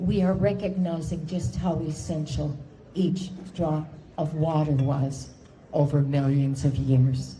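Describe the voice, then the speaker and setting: Audible room echo surrounds a woman's somewhat breathy voice. She talks at a fairly slow pace in a dark, mellow tone. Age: 70s. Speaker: cancer patient speaker. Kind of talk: speech. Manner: formal.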